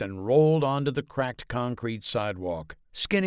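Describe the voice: The voice is plain reading aloud with lively intonation.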